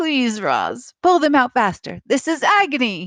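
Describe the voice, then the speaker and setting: A female-sounding voice does a put-on character voice, high in pitch and fairly slow. The background is quiet. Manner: pained, through gritted teeth.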